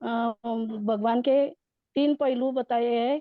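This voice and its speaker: In a high pitch, a woman speaks with monotone, flat intonation. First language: Marathi (speaking Hindi). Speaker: devotee participant. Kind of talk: devotional study recap. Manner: halting, many fillers.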